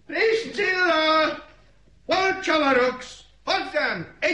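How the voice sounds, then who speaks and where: Someone shouts in a put-on character voice pitched high. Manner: shouting.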